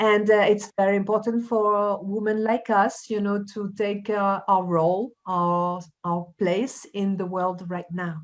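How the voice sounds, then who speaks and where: Speaking with a slight French accent, a woman keeps a fairly slow pace with hardly any pauses. Her intonation is monotone and flat over a quiet background. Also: medium pitch for a woman. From France. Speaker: life coach and journalist. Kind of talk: conversational interview. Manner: hesitant, many fillers.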